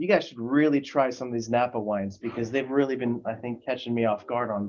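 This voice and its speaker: A man with an American accent speaks at a fairly quick pace. He has a medium pitch and an ordinary speaking voice. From US, born in France. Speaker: printing industry sales and marketing executive. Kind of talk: casual interview. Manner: many fillers, casual.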